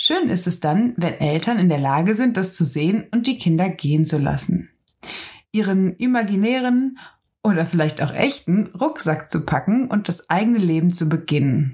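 A woman speaks at a medium pitch and a moderate pace with a dark, mellow tone, somewhat breathy, with lively intonation and very even loudness. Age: 20s. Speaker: self-development podcaster. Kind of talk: personal reflective monologue.

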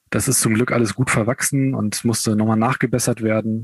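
Dry and close with no echo, the recording has a man with a normal speaking voice at a medium pitch, talking at a fairly quick pace. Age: 30s. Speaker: amputee, kindergarten educator. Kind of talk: interview.

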